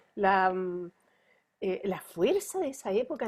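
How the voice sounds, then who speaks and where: On a very clean recording with a silent background, a woman uses an unremarkable speaking voice with lively intonation, medium pitch and a fairly slow pace. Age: 60s. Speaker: pediatrician. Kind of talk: interview.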